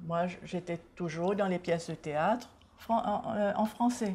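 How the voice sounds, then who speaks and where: Her voice somewhat breathy with a dark, mellow tone, a woman speaks at a very slow pace with ordinary pitch variation. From Seychelles. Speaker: author and culture advocate. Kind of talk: TV interview.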